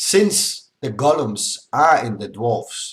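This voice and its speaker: The voice is a man's. It sounds somewhat breathy. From Denmark. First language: Danish (also speaks Polish). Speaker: gaming YouTuber. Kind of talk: game commentary tutorial. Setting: screen recording with webcam. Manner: casual, slightly halting.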